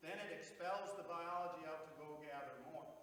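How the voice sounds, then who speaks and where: A man speaks with noticeable background noise. There is audible room echo. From North Dakota (Bismarck). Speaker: farmer and regenerative agriculture speaker. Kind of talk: Q&A answer at a public presentation. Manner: blunt, animated.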